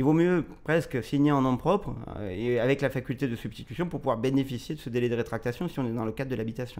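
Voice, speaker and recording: A man talks at a very fast pace in a fairly high voice. His pitch variation is ordinary. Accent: slight southern French. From southern France, Marseille. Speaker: notary. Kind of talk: expert interview. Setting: in Marseille.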